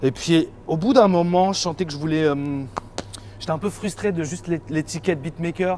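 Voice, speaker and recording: A high-pitched man talks at a moderate pace with ordinary pitch variation, leaving long, frequent pauses. Noticeable background noise is present. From Île-de-France, France (Val-de-Marne). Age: 30s. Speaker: music producer and DJ. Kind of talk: casual interview. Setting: in a shop. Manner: casual, hesitant with fillers.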